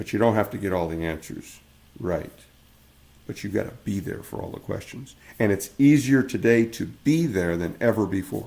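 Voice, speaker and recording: Lively intonation and vocal fry mark this man's fairly low pitch as he speaks at a moderate pace. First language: Spanish. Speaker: small business owner vlogger. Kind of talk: casual vlog monologue.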